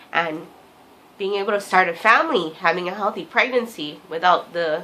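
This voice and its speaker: A woman talks in a fairly low pitch. Noticeable background noise runs under her voice. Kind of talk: personal vlog diary talk to camera. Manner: hesitant, stuttering.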